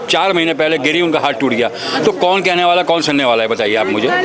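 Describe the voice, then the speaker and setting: A man with a fairly high pitch talks while noticeable noise sits in the background. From India, Delhi. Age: 60s. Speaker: local trader. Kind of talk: street interview. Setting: outdoors in a market lane. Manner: animated.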